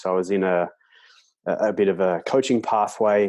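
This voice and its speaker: Against a quiet background, a man with an Australian accent speaks at a fairly low pitch with fairly even intonation. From Australia, Melbourne. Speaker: sports coach and author. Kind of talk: interview. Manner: halting, many repetitions.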